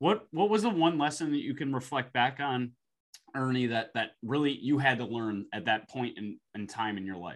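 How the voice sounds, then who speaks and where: This is a man with an ordinary speaking voice. He keeps a moderate pace and lively intonation. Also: medium pitch for a man. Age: 30s. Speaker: podcast host. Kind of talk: casual interview chat.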